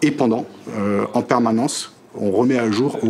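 A man's fairly even intonation amid noticeable background noise. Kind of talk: interview answer. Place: office. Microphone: lapel.

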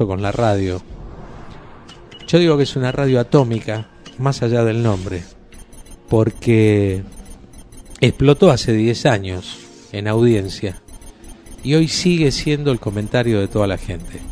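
Over music in the background, a man with an Argentine accent speaks at a fairly slow pace with long, frequent pauses and ordinary pitch variation. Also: medium pitch for a man. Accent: Argentine Rioplatense. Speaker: radio announcer / voice of the station's jingles. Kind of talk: casual greeting to camera, anniversary message. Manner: chatty, informal.

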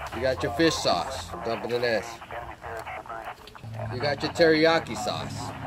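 Loud background noise surrounds a man whose pitch varies in an ordinary way. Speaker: cooking show host in military persona. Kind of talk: tutorial. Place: open country. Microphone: lapel.

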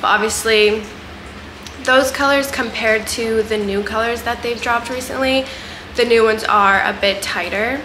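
A woman at a moderate pace with fairly even intonation, over noticeable background noise. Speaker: fitness apparel reviewer. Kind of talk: casual vlog chat. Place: home room. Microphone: camera far.

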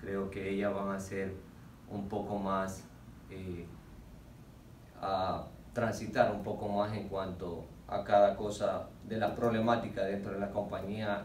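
With audible room echo and light background noise, a man speaks in a fairly low pitch and flat, monotone intonation at a very slow pace, with long, frequent pauses. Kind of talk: interview answer. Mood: earnest, measured. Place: meeting room. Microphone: camera far.

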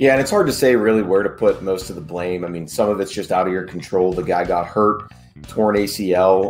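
A man talks with a very deep, low voice at a moderate pace. Faint music plays in the background. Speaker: sports podcast co-host. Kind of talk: podcast commentary. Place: home room.

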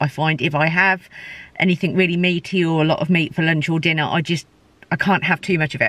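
With a fairly low pitch, a woman speaks in a dry sound with no echo. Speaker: food vlogger. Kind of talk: casual vlog chat. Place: car. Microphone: phone near.

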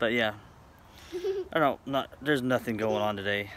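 A man's voice sounds dry with no echo, over light background noise. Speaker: family vlogger. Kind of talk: casual vlog chat. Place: street. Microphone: phone near.

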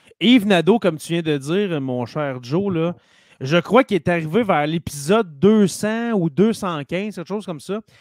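A high-pitched man with a Quebec accent speaks at a fairly slow pace with lively intonation, in a dry sound with no echo and a quiet background. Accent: Québécois French. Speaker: teacher and podcast host; teacher, podcast host. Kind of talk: casual chat. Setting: live stream. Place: home room. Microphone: studio mic.

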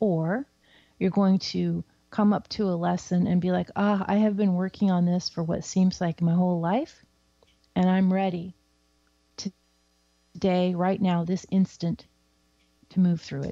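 With a General American accent and a dark, mellow tone, a woman speaks at medium pitch and a moderate pace, monotone and flat, with long, frequent pauses in a dry, close sound with no echo. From US Pacific Northwest. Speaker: psychic and spiritual teacher. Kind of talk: casual talk show with live readings. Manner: casual and chatty.

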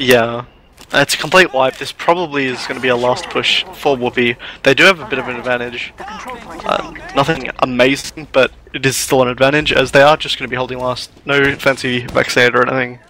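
A man talks fairly quickly at a medium pitch while noticeable noise fills the background. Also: fairly even intonation. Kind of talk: live esports commentary. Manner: measured, analytical, hesitant.

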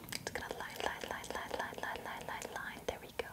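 Soft-spoken whispering comes at a fairly quick pace. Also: woman. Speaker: ASMR creator doing makeup roleplay. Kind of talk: soft-spoken ASMR roleplay. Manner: soft close-mic ASMR whisper. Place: home room. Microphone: studio mic.

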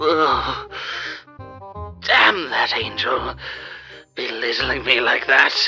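A man uses a put-on character voice with vocal fry, a bright, sharp tone and lively intonation. He speaks at a very slow pace over faint music in the background. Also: medium pitch for a man.

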